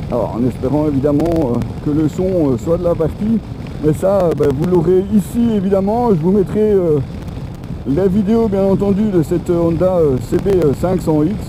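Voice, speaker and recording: Talking at a moderate pace, a man with a high pitch keeps his loudness very even over noticeable background noise. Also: ordinary pitch variation. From Belgium. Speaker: motorcycle vlogger. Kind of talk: motovlog review while riding. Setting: riding a motorcycle, helmet intercom. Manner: hesitant, many filler sounds. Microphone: helmet intercom mic, in-helmet, crackling.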